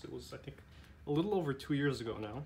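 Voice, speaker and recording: Racing along very fast, a man talks through audible room echo and noticeable background noise. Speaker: tech YouTuber. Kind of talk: tutorial. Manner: casual, halting with fillers.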